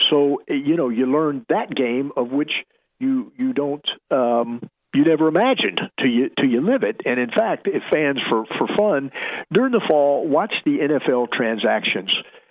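With an American accent, a man speaks at a moderate pace and medium pitch, his intonation lively.

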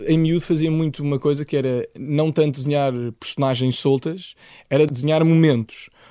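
This man has a fairly high pitch and a dark, mellow tone, delivered with monotone, flat intonation. He talks at a moderate pace in a dry, close sound with no echo. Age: 20s. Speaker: illustrator and animator. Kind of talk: interview.

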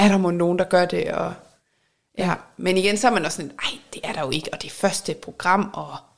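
A woman's normal speaking voice at medium pitch, fairly quick in pace, with ordinary pitch variation and big swings in loudness. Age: 30s. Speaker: podcast co-host, reality TV fan. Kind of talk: casual chat.

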